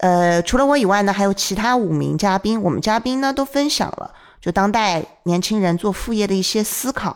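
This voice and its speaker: A woman talks at a moderate pace with an ordinary speaking voice. Her pitch is medium, with ordinary pitch variation. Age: young. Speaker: podcast host. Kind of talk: casual chat.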